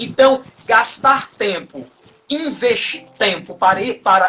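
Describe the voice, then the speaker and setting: A man's extremely high-pitched, raised and projected voice at a very slow pace. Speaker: Bible study teacher. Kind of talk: online Bible study lesson. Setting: online live stream.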